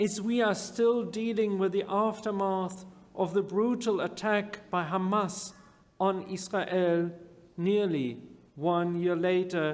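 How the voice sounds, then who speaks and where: Someone with a non-native accent speaks at a very slow pace. Audible room echo surrounds the voice. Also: man. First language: not English. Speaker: rabbi. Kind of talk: sermon.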